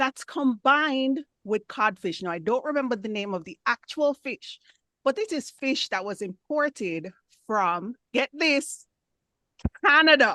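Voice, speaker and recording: A woman with a Jamaican accent projects a raised voice with a bright, sharp tone and high pitch, making very wide pitch swings and big swings in loudness at a fairly slow pace, recorded in a dry, close sound with no echo. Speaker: club member giving impromptu speech. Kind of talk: impromptu speech.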